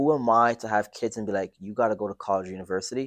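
A man's normal speaking voice at a fairly low pitch with ordinary pitch variation, in a dry, close sound with no echo over a quiet background. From Toronto, Canada. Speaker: entrepreneur and day trader. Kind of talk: casual interview.

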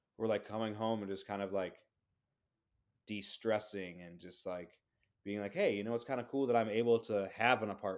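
On a very clean recording with a silent background, a man talks in an unremarkable speaking voice at a fairly low pitch. His pace is moderate and his intonation fairly even, with big swings in loudness. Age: 30s. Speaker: DJ. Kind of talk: casual chat.

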